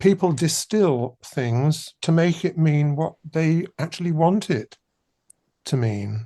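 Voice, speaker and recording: A man with a fairly high pitch and a dark, mellow tone sounds somewhat breathy, his intonation lively. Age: 80s+. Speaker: composer. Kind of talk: interview.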